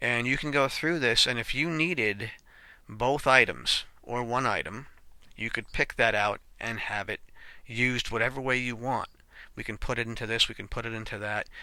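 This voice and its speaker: On a very clean recording with a silent background, the voice has a bright, sharp tone, fairly even intonation, and a moderate pace. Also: man, medium pitch for a man. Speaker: programming tutorial teacher. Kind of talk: screen-recorded coding tutorial. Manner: casual, self-correcting with fillers.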